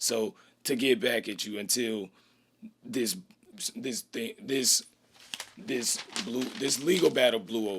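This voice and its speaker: A man's raspy, put-on character voice at a medium pitch, fairly slow, with very wide pitch swings and long, frequent pauses. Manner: stuttering, tripping over words.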